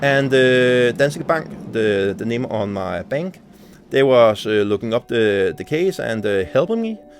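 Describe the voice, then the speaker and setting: The speaker talks at a fairly slow pace in a Danish accent with lively intonation, amid noticeable background noise. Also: man, medium pitch for a man. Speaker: gaming YouTuber. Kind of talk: casual vlog rant. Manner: halting, many fillers.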